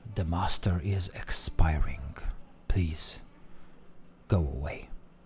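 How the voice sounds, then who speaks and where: A man's put-on character voice, very deep and low in pitch, at a very slow pace over clear background noise. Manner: flat, eerie.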